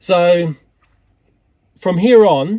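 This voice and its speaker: A man with an Australian accent. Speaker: tech YouTuber. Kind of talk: casual vlog narration.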